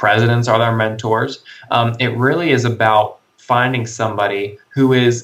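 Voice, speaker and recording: A man speaks at a medium pitch and a fairly slow pace. It is a plain, everyday voice. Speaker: college entrepreneur. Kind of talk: interview. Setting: Skype call.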